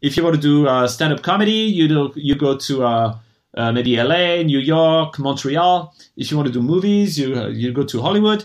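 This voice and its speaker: A man with a French accent, fairly high in pitch, at a moderate pace with ordinary pitch variation. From France. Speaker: venture investor. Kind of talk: interview.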